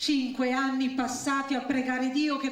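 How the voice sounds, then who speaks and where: A high-pitched woman talks at a fairly slow speed. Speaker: stage reciter. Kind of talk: dramatic story reading.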